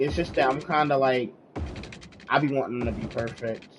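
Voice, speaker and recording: A man talks at a fairly quick pace. Behind his voice, music is playing. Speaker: video game streamer. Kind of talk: live gameplay stream. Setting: live stream. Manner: casual, conversational.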